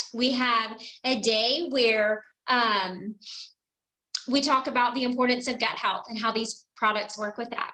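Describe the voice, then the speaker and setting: The intonation stays fairly even in a normal speaking voice that moves at a moderate pace. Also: woman. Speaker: direct sales team leader. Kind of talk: team call presentation.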